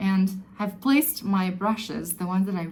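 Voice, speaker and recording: A woman with a non-native accent speaks fairly slowly in a somewhat breathy, dark, mellow voice of medium pitch, with ordinary pitch variation. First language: not English. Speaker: beauty vlogger. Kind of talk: tutorial. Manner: halting; casual.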